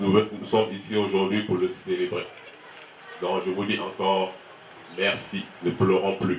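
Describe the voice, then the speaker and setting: Very slowly, a man speaks in a very deep, low pitch with monotone, flat intonation. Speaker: son of the deceased giving thanks. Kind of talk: funeral speech.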